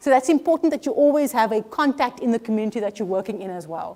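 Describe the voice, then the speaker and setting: A woman talks at a very fast pace with a high pitch and lively intonation. Her tone is dark and mellow. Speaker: professor. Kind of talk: lecture.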